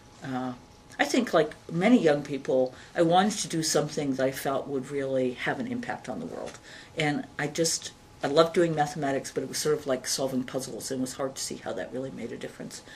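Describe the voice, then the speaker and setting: A woman with a Canadian accent speaks at a fairly quick pace with a very deep, low pitch and lively intonation. Her loudness swings widely over noticeable background noise. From Canada, Edmonton, Alberta. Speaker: university president and computer scientist. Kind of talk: interview. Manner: animated.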